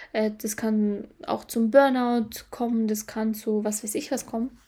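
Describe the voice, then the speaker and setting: Somewhat breathy and dark, mellow in tone, a woman speaks at a fairly high pitch. Her intonation stays fairly even. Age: 20s. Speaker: podcast host, mindset coach. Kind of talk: casual solo podcast monologue. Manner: hesitant, frequent filler sounds.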